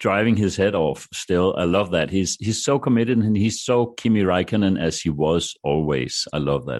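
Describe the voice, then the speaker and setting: A man with a Danish accent speaks at a very deep, low pitch, with vocal fry. He hardly pauses, and the background is quiet. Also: lively intonation, moderate pace. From Denmark. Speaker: broadcaster. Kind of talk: casual panel discussion. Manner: halting.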